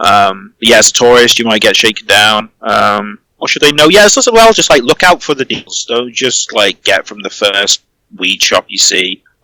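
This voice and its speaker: In a dry, close sound with no echo, a man with a British accent talks at a moderate pace. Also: hardly any pauses. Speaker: online community owner. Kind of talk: interview answer. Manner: casual, hesitant.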